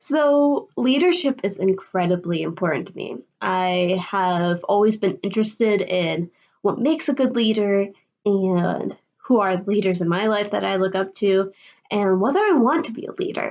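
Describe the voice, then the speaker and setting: Medium-pitched woman's voice with a Midwestern US accent, lively intonation and a moderate pace over a quiet background. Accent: US Midwest. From Illinois, Chicago area. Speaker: college student. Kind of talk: video presentation.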